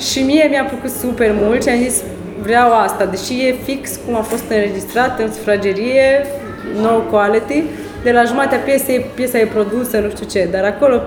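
Amid noticeable background noise and audible room echo, a woman with a fairly high pitch talks at a moderate pace with fairly even intonation. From Romania, Suceava. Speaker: singer and violinist. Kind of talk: interview.

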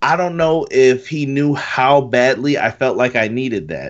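A man's ordinary speaking voice with ordinary pitch variation, pitched fairly high. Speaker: wrestling fan. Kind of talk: casual chat.

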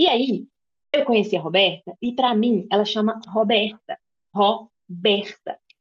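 Her voice is somewhat breathy and fairly high for a woman, kept at a very even loudness. She talks at a fairly slow pace, with a dry, close sound and no echo. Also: ordinary pitch variation. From interior of Minas Gerais, Brazil. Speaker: podcast co-host. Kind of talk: casual chat.

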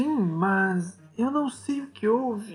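Music plays in the background as a shaky, put-on character voice speaks at a very slow pace. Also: female-sounding voice.

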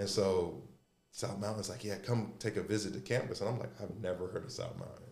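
Somewhat breathy speech at a fairly quick pace, with fairly even intonation and audible room echo. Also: man. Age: 30s. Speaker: former college basketball player. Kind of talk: casual chat.

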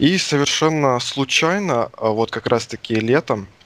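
A man with ordinary pitch variation talks fairly slowly against noticeable background noise. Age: 20s. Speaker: indie game developer. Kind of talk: interview. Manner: casual.

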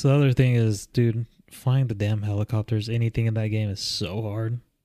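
A man's monotone, flat delivery on a very clean recording with a silent background. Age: 30s. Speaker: podcast co-host. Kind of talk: casual chat.

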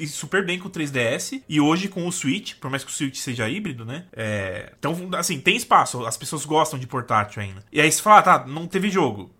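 A man's bright, sharp voice with very wide pitch swings, at a moderate pace, in a very clean recording with a silent background. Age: 20s. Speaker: games journalist. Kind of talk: casual chat.

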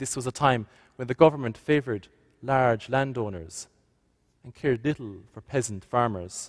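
A man at a medium pitch with a West Cork accent, moderate pace, ordinary pitch variation and big swings in loudness, in a very clean recording with a silent background, dry and close with no echo. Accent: West Cork Irish. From West Cork, Ireland. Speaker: visiting priest giving a homily. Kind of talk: sermon.

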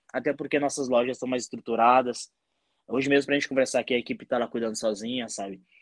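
A man at a very fast pace with fairly even intonation, the sound dry and close with no echo. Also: medium pitch for a man. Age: 30s. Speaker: entrepreneur. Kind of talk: casual chat.

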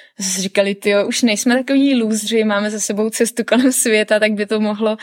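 A woman with a plain, everyday voice, fairly high in pitch. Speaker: traveller and hiker. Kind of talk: casual interview.

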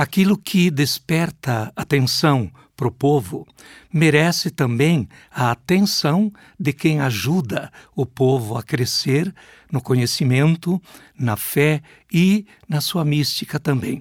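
At a very slow pace and very even loudness, a man with a fairly high pitch and lively intonation is recorded with a dry, close sound with no echo. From Brazil, Rio Grande do Sul (Passo Fundo). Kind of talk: interview.

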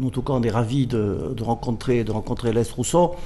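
This man's mid-range voice moves along at a moderate pace. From Corsica. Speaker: football club general manager. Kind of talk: studio interview. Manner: halting.

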